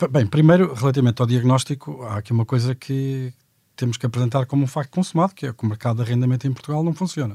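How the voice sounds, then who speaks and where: A man speaks very fast in a medium-pitched, dark, mellow, somewhat breathy voice with ordinary pitch variation. The recording is very clean with a silent background and a dry, close sound with no echo. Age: 40s. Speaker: economist. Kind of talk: panel discussion.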